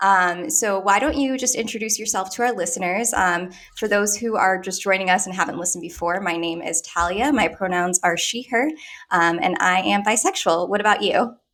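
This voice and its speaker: A woman's normal speaking voice at a fairly quick pace, medium-pitched, with ordinary pitch variation. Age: 30s. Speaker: podcast host. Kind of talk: casual chat.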